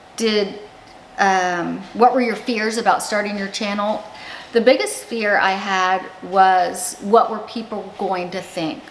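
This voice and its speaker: A woman speaks at a very slow pace and a medium pitch, her intonation fairly even, with audible room echo and noticeable background noise. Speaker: YouTuber. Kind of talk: casual vlog talk. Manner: halting.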